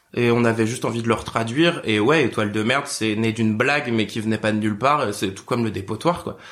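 Talking at a very fast pace with hardly any pauses, a man shows ordinary pitch variation. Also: medium pitch for a man. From Picardie, France. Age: 20s. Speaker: drag performer. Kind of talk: casual chat.

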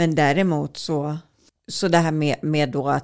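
A woman speaks at a fairly slow pace. Her voice is very deep and low. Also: very clean recording, silent background. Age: 40s. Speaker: journalist and author. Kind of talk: interview conversation.

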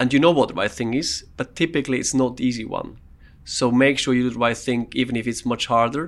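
A very fast delivery with fairly even intonation, on a very clean recording with a silent background. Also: man, medium pitch for a man. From Switzerland, Swiss Alps. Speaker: insurance company CEO. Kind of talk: interview.

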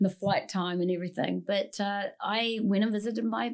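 A woman with a New Zealand accent speaks at a moderate pace on a very clean recording with a silent background. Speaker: singer-songwriter and bag designer. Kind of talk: casual interview chat. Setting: studio.

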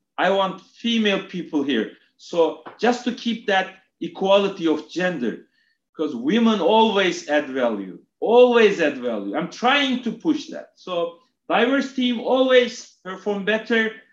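The speaker has a Turkish accent and a fairly slow pace. The pitch swings very widely. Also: man, high pitch for a man. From Turkey (Istanbul). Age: 40s. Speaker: retail executive. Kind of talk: interview. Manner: hesitant, repeats words.

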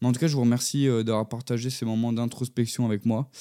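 A man speaks at a fairly quick pace with a medium pitch and a dark, mellow tone. The recording is very clean, with a silent background. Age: 20s. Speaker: podcaster. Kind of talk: solo introspective monologue. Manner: stuttering; hesitant, many fillers.

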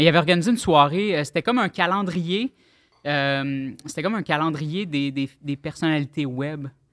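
A man with a normal speaking voice, fairly high pitch, ordinary pitch variation and a moderate pace, in a dry, close sound with no echo on a very clean recording against a silent background. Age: 30s. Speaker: web artist and rapper. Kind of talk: casual chat.

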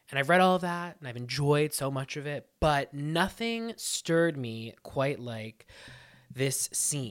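An ordinary speaking voice from a man, fairly high in pitch and fairly slow, with lively intonation and big swings in loudness. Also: very clean recording, silent background. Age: 30s. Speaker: podcast host. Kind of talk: casual chat; scripted narration.

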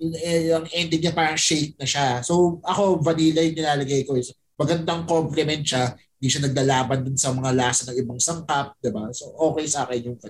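Somewhat breathy and fairly high in pitch, a man talks fairly quickly with fairly even intonation. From Philippines, Pampanga. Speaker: podcaster. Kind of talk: casual chat.

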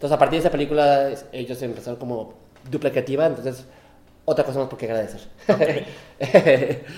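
At a fairly quick pace, a man with an unremarkable speaking voice and ordinary pitch variation talks with big swings in loudness. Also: fairly high pitch for a man. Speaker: podcast co-host. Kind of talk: casual chat. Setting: apartment with echo. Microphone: room echo.

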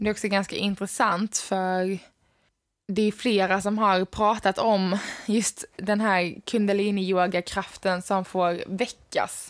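A woman speaks at a very slow pace in a flat, monotone delivery. The recording is very clean, with a silent background. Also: medium pitch for a woman, very even loudness. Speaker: yoga teacher and podcast host. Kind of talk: solo podcast talk on yoga.

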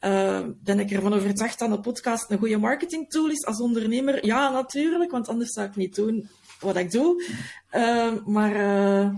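A woman speaks at a moderate pace. Her voice is fairly high in pitch and somewhat breathy. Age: 40s. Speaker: podcast manager. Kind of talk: casual interview. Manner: halting.

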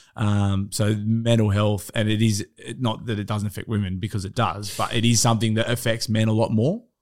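On a very clean recording with a silent background, a man with an Australian accent speaks at a fairly low pitch and a fairly quick pace in a monotone, flat way. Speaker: podcast guest. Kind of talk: casual chat.

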